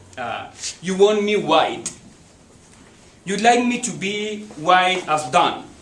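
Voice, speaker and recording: A man's high pitch with lively intonation at a very slow pace, plus audible room echo and noticeable background noise. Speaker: poetry reader. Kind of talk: reading aloud.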